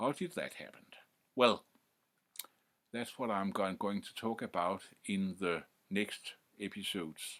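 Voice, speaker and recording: A man's fairly low, fairly slow voice with a Danish accent, ordinary pitch variation, big swings in loudness and long, frequent pauses. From Denmark. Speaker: music history youtuber. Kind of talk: informal lecture to camera. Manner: halting, many fillers and restarts.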